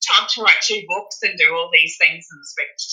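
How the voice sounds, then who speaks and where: With an Australian accent, the woman talks at a moderate speed. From Australia (Brisbane). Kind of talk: interview. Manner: hesitant.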